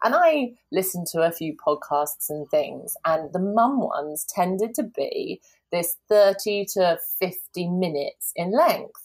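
Speaking at a very slow pace with a strong southern English accent, a woman of medium pitch uses lively intonation. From southern England. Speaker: personal trainer and parenting podcaster. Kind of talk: casual interview chat. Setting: remote call.

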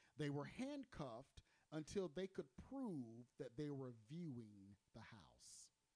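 The speaking is fairly slow. The voice is a plain, everyday voice. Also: man. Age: 40s. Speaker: podcast host. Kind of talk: casual chat. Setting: studio.

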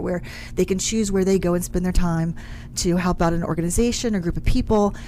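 Noticeable noise fills the background. Over it, a woman talks with an American accent. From West Virginia, small town. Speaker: staffing and technology firm CEO. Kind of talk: radio interview.

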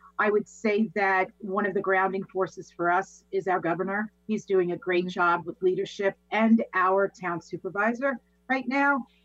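A woman speaks in a New York accent at medium pitch with ordinary pitch variation. Her moderate pace is captured in a dry, close sound with no echo. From Long Island, New York. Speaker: positivity coach and business owner. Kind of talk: casual interview. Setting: video call.

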